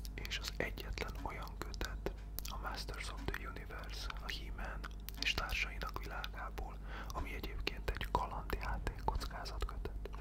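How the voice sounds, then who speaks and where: A man whispers softly at a fairly slow pace. Noticeable background noise sits behind him. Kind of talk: ASMR whispered talk with book showing. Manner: whispered, soft-spoken.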